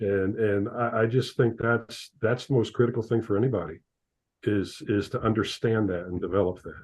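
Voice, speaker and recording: A man talks in a plain, everyday voice at medium pitch and a moderate pace. The background is quiet. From Ohio, US Midwest. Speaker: accountant and father of athlete. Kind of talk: interview.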